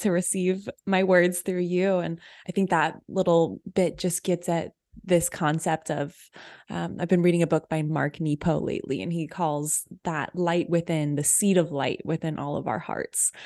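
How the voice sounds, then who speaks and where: In a plain, everyday voice, the speaker goes at a moderate pace with fairly even intonation. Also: woman, fairly low pitch for a woman. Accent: American. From Texas, Austin. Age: 20s. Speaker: creativity mentor and author. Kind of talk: interview conversation.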